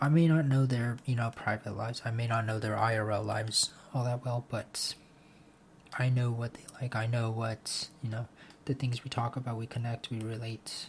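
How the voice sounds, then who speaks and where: Here a man speaks in a monotone, flat intonation. His medium-pitched voice sounds somewhat breathy. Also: moderate pace. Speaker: vlogger. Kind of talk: casual monologue vlog. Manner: halting, with repeated words.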